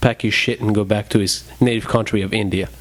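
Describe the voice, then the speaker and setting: With a French accent and a fairly low pitch, a man talks in a fairly even intonation amid noticeable background noise. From France. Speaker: podcast co-host. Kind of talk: casual chat.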